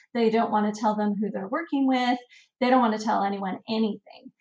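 The voice sounds somewhat breathy. Its pitch varies in an ordinary way. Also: woman. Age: 40s. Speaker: travel and family blogger. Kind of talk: interview.

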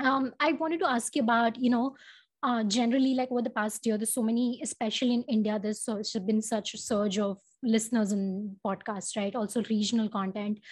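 Somewhat breathy and very fast, a woman talks with fairly even intonation over a quiet background. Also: fairly high pitch for a woman. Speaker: podcast host. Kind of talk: casual interview. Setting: remote video call.

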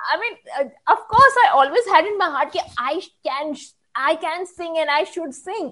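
A woman's raised, projected voice at an extremely high pitch. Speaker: radio jockey. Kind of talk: casual interview chat.

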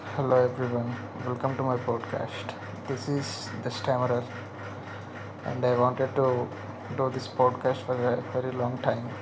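A man with an Indian accent, medium pitch and monotone, flat intonation, at a moderate pace with long, frequent pauses over noticeable background noise. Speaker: podcaster who stammers. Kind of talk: personal solo monologue. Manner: halting, stammering; confessional, emotional.

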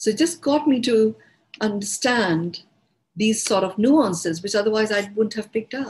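A woman with an Indian accent speaks at a moderate pace, her voice somewhat breathy. Her pitch is fairly high, with ordinary pitch variation. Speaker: meditation teacher. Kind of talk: guided talk. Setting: online group session.

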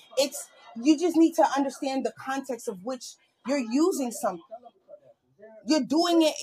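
With music in the background, a woman speaks at a high pitch in an animated tone with lively intonation, leaving long, frequent pauses. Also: moderate pace. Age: 40s. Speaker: podcast co-host. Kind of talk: casual chat.

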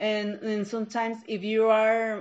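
In a Mexican accent, a woman with a fairly high voice speaks at a fairly slow pace. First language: Spanish. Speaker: preschool English teacher. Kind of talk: interview answers. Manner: halting, searching for words.

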